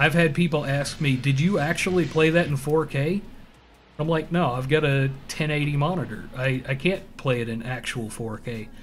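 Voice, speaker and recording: The speaker has a slight Southern US accent and a somewhat breathy voice, moving at a moderate pace with ordinary pitch variation. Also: man. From US South. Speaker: gaming streamer. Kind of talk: live gameplay stream chat. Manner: casual, rambling with fillers.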